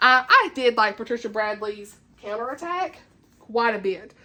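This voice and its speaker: In a Southern US accent, a woman speaks with a fairly high pitch and a bright, sharp tone. Her delivery is animated, with lively intonation. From US South. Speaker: book YouTuber. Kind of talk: casual chat. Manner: fast.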